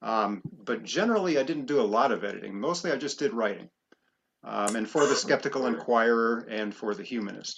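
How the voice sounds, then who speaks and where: A man with a normal speaking voice talks at a fairly quick pace in a medium pitch with ordinary pitch variation. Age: 50s. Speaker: writer and magazine contributing editor. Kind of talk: interview.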